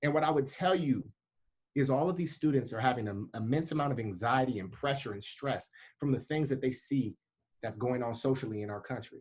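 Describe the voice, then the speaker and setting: An animated, somewhat breathy man at a fairly quick pace. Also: medium pitch for a man, ordinary pitch variation. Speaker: leadership program leader, speaker. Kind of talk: motivational talk. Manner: fast.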